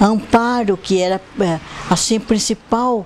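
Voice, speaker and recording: Over noticeable background noise, a woman at medium pitch talks at a fairly slow pace with fairly even intonation. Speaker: local resident sharing memories. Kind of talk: documentary interview.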